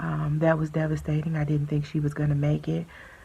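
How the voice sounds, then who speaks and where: This woman has a very deep, low pitch. Her voice is somewhat breathy. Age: 40s. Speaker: vlogger sharing personal health journey. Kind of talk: personal testimony. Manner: hesitant, many fillers.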